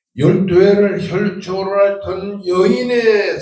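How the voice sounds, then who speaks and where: Talking at a very slow pace, a man has a high pitch and a dark, mellow tone, with audible room echo around him. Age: 80s+. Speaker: pastor. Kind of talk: sermon. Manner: formal.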